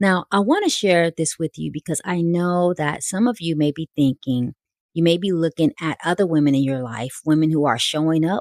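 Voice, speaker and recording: A woman with a plain, everyday voice speaks at a fairly low pitch and moderate pace with ordinary pitch variation, on a very clean recording with a silent background, dry and close with no echo. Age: 60s. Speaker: podcast host, life coach and minister. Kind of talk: personal reflective talk.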